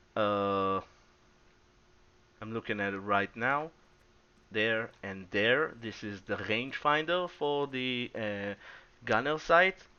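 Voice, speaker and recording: A man's medium-pitched voice with a non-native accent, very slow pace, long, frequent pauses, lively intonation and big swings in loudness. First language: not English. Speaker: gaming YouTuber. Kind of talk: gameplay commentary. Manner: halting.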